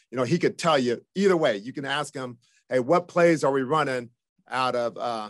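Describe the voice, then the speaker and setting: Over a quiet background, a man with a fairly high pitch speaks in an American accent at a moderate pace, his pitch varying in an ordinary way. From Japan, then United States from age seven. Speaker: football coach. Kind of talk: radio interview. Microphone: video call.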